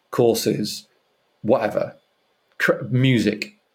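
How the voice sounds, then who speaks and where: A man speaks at a very slow pace. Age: 40s. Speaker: tech company founder and CEO. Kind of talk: interview. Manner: animated.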